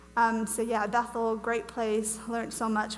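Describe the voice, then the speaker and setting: A woman with an American accent speaks at a fairly high pitch, and the room echo is audible. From Wales. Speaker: ministry speaker. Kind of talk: teaching talk to church audience. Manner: casual, chatty.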